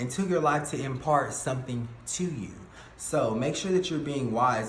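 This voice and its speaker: A man's fairly slow, lively speech, with audible room echo and noticeable background noise. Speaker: tarot reader. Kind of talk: tarot reading monologue. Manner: halting with fillers.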